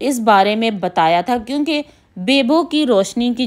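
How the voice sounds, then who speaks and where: A woman with a high pitch and lively intonation, at a very slow pace against a quiet background. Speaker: vlogger. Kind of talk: casual vlog chat. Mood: earnest, mildly upset explaining. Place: home room. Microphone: phone near.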